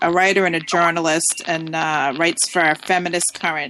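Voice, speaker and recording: A woman's fairly low-pitched, monotone, flat voice with an American accent at a moderate pace, over noticeable background noise. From Massachusetts, US. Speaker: talk radio host. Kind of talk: casual talk radio chat.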